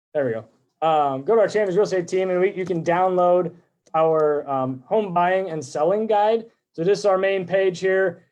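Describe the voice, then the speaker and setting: A high-pitched man speaks loudly. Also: ordinary pitch variation. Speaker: real estate agent. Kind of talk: live stream presentation. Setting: live video stream. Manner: fast.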